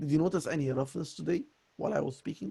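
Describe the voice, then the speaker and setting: Fairly high-pitched male speech at a fairly quick pace, dark and mellow in tone, with lively intonation and vocal fry. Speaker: voice coaching student. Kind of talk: voice lesson conversation.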